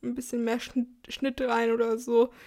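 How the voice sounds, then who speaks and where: A woman speaks with a high pitch and monotone, flat intonation. Her pace is fairly slow. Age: 20s. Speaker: podcast host. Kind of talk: casual monologue.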